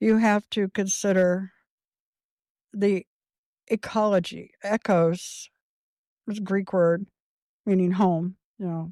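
Speaking at a very slow pace with long, frequent pauses, the voice has a dark, mellow tone, a Midwestern American accent and monotone, flat intonation, on a very clean recording with a silent background and a dry, close sound with no echo. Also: woman, medium pitch for a woman. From Indiana, Clay County. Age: 60s. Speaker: homesteader and sustainability educator. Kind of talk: interview.

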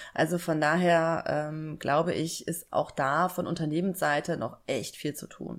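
With a very deep, low pitch and fairly even intonation, a woman talks at a fairly slow pace with hardly any pauses in a very clean recording with a silent background. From southern Germany, Lake Constance. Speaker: job application coach. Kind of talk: interview.

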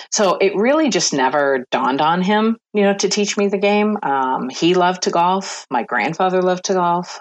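A woman with an American accent uses a plain, everyday voice at a fairly low pitch, speaking at a moderate pace with lively intonation over a quiet background. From Michigan, small town. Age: 50s. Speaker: sports event executive. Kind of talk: interview.

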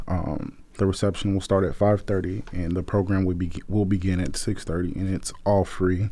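In a Southern US accent, a man with a very deep, low pitch and a dark, mellow tone speaks at a moderate pace with hardly any pauses and monotone, flat intonation. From Memphis, Tennessee. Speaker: city commission chair. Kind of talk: radio interview.

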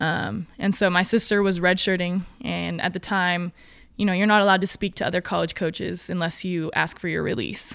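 A woman with an ordinary speaking voice, an American accent and medium pitch, at a fairly quick pace with fairly even intonation, on a very clean recording with a silent background. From Oregon, US (Grants Pass). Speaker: bobsled athlete. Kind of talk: casual interview. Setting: home garage.

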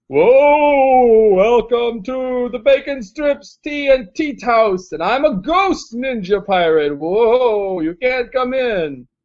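Putting on a character voice at an extremely high pitch, a man talks at a very slow pace with hardly any pauses. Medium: actual play. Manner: spooky, dopey.

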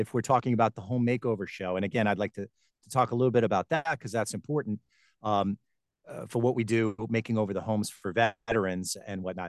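Against a quiet background with a dry, close sound and no echo, a man with an American accent speaks very fast at a medium pitch with fairly even intonation. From Long Island, New York. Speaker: TV host and voiceover talent. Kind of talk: interview.

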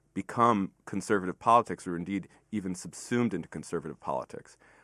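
Over a quiet background, a man in a plain, everyday voice talks at a fairly quick pace with lively intonation, the sound dry and close with no echo. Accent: American. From Fairfax County, Virginia. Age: 30s. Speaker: magazine editor and lecturer. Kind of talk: casual chat.

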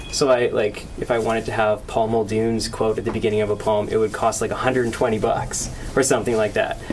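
A man with a Canadian accent at a medium pitch, fairly quick and monotone, flat in intonation, with noticeable background noise. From Okanagan Valley, British Columbia. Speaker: poet and PhD student. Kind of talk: poetry reading. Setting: bookstore event with audience.

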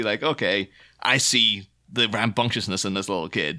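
This man has a Northern Irish accent and a bright, sharp tone. The recording is very clean, with a silent background. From Northern Ireland. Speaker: guest podcaster. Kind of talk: casual chat.

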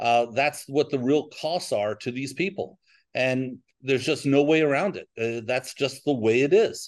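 A man with an American accent speaks at a moderate pace, with a plain, everyday voice and a fairly high pitch. His pitch varies in an ordinary way, and the background is quiet. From New York. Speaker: financial advisor. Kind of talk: interview.

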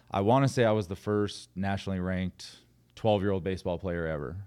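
Using an ordinary speaking voice, a man with an American accent talks at a fairly quick pace, with a fairly low pitch and fairly even intonation. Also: quiet background. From California. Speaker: former pro baseball player, coach. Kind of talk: casual chat. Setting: studio.

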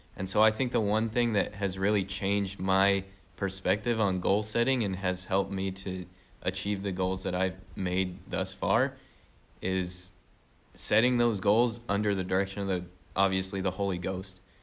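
On a very clean recording with a silent background, a man with an American accent talks at fairly low pitch. His pace is moderate and his intonation monotone and flat. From Utah, US. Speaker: missionary. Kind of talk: casual interview.

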